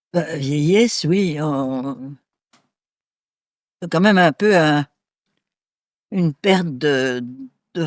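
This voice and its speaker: A woman speaks at a very slow pace with a very deep, low pitch. Her intonation is lively, and the sound is dry and close with no echo. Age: 80s+. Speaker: retirement home resident. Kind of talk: interview.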